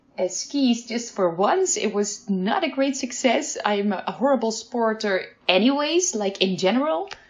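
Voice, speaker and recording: A woman's fairly high voice at a fairly slow pace, with hardly any pauses and very wide pitch swings, over noticeable background noise. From Netherlands. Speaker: education researcher. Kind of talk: interview. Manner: hesitant, with many fillers.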